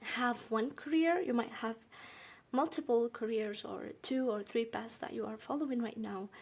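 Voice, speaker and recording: Speaking at a moderate pace with a non-native accent, a woman uses a fairly high pitch and ordinary pitch variation. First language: not English. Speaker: tarot reader. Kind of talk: tarot reading monologue. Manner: halting.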